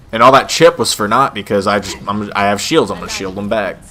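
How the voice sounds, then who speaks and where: Noticeable background noise accompanies a man speaking fairly quickly in a fairly low voice. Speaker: gaming youtuber. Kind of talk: gameplay commentary. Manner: animated; casual.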